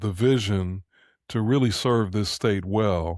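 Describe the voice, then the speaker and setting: The speaker has a normal speaking voice, moving at a fairly slow pace with fairly even intonation. The recording is very clean, with a silent background. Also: man. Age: 60s. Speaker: podcast co-host. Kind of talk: interview.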